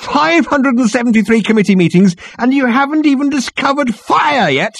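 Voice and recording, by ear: A man performs a put-on character voice at an extremely high pitch, with lively intonation, vocal fry and a fairly bright tone. He keeps a moderate pace, and the sound is dry and close with no echo.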